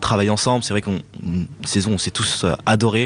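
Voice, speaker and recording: Against noticeable background noise, a man speaks very fast at a fairly low pitch with fairly even intonation. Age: 20s. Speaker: chef. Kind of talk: interview.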